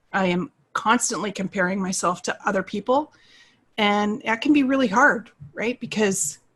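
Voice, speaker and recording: A woman talks at a moderate speed in a medium pitch, with her pitch shifting an ordinary amount. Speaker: instructional design business owner and voice narrator. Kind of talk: casual chat. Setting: video call.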